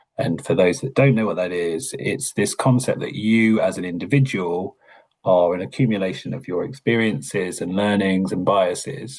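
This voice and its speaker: A man with a Hertfordshire accent speaks at a moderate pace in a fairly low pitch with ordinary pitch variation. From Hertfordshire, England. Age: middle-aged. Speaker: learning and development lead. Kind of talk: webinar conversation.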